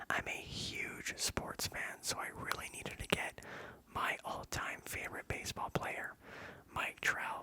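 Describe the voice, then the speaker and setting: A man whispers at a very slow pace over noticeable background noise. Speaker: ASMR content creator. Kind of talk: whispered ASMR ramble about a collection. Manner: whispered, soft, relaxing.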